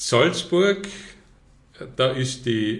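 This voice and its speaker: A man with an Austrian accent is heard with an audible room echo. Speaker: tourism representative. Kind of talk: quiz game reading statements.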